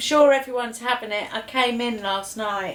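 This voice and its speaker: Amid noticeable background noise, a woman with an English accent speaks at a moderate pace in a high pitch with ordinary variation. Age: 50s. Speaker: home cooking show host. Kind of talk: casual cooking demonstration. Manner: quieter than usual.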